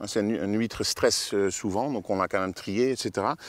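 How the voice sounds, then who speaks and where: This man speaks with a slight Dutch accent. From Netherlands. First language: Dutch (speaking French). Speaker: oyster farmer. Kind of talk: casual interview. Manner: halting, many hesitations.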